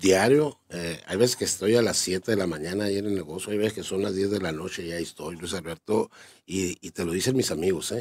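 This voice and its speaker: In a quiet background, a man speaks with a very deep, low pitch and ordinary pitch variation. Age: 50s. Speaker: business owner; interviewee. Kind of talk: interview. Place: studio. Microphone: studio mic.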